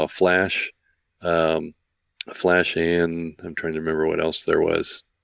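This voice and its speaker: With an American accent, a man speaks at a moderate pace in a very deep, low pitch, his intonation monotone and flat and the sound dry and close with no echo. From US Midwest, Central Illinois. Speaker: retired space history researcher. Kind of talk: casual interview with narrated video tour. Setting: remote call, live stream. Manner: hesitant, many fillers.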